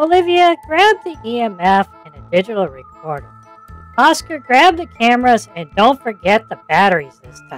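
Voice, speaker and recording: A put-on character voice, fairly high in pitch with very wide pitch swings, moves at a moderate pace over faint music in the background. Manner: earnest, upbeat host.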